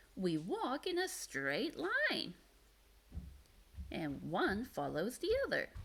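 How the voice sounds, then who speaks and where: Putting on a character voice, a woman speaks at a very slow pace with long, frequent pauses. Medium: read story. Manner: earnest, innocent.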